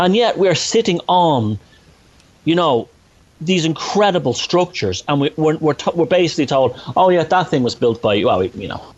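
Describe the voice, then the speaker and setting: Talking at a moderate pace with a Dublin accent, a man uses lively intonation and a fairly high voice. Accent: Dublin Irish. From Ireland, north Dublin. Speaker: author and researcher. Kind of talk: podcast interview. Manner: animated, halting with restarts.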